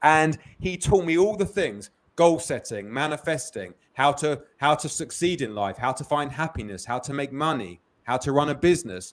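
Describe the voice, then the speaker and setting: A man's lively intonation stands out in a very clean recording with a silent background. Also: moderate pace. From London, England. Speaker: business founder. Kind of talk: interview. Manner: repetitive false starts.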